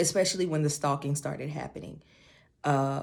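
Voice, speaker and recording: A woman speaks in a soft-spoken way. Her pitch is very deep and low. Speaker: beauty and confidence vlogger. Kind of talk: personal testimony. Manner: slow.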